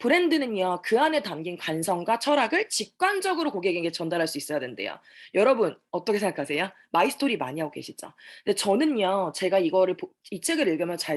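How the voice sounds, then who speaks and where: Against a quiet background, the speaker races along very fast with very wide pitch swings. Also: woman. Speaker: network marketing distributor giving a talk. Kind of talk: seminar presentation.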